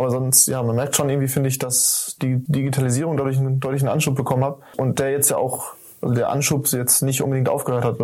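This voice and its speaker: The voice is somewhat breathy, with monotone, flat intonation. The pace is fairly quick. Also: man. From Lemgo, Germany. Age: 20s. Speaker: software development apprentice. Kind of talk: casual interview.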